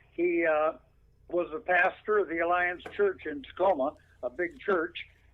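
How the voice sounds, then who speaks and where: This man has a high-pitched voice and an American accent. He talks at a moderate pace. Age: 80s+. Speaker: veteran radio broadcaster. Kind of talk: interview.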